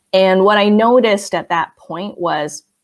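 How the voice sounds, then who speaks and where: A woman speaks with a General American accent at a fairly slow pace. Her intonation stays fairly even. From United States, Chinese-American immigrant family. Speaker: professor. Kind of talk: interview. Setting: video call. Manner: hesitant, many fillers.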